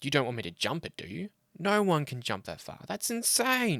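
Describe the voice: Using a put-on character voice, a man speaks fairly high with vocal fry, a fairly bright tone and very wide pitch swings, at a moderate pace, in a dry, close recording with no echo.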